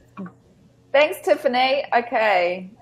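In a New Zealand accent, a woman is speaking. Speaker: business coach and panel host; business coach, panel host. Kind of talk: casual panel chat. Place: home room. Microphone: video call.

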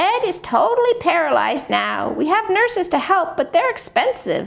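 A woman uses a put-on character voice at an extremely high pitch, with vocal fry, big pitch swings and a moderate pace.

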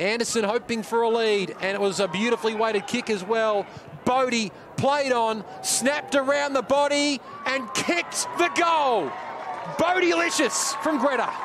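Lively intonation in an Australian accent, at a moderate pace with very even loudness, over noticeable background noise. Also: man, extremely high pitch for a man. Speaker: sports commentator. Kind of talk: live sports commentary. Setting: stadium match broadcast.

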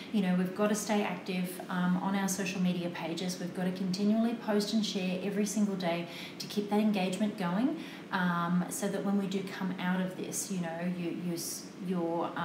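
A woman talks at a moderate pace in a monotone, flat delivery. Background noise is noticeable. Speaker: photography tutor hosting a live stream. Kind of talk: casual instructional. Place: studio.

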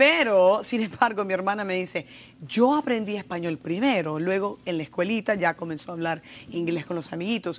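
Keeping a moderate pace, the woman talks with lively intonation. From Los Angeles, US, Mexican-Salvadoran family. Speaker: TV talk show host. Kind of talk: TV panel discussion. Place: studio. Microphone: lapel.

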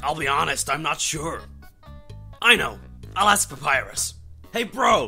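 Faint music plays behind a cartoonish character voice at middle pitch and a moderate pace. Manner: laid-back, casual.

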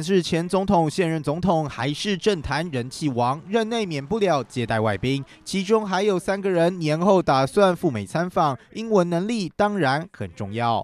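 Speaking at a fairly slow pace with hardly any pauses, a man uses a high pitch and lively intonation. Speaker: news reporter. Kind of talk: TV news report narration.

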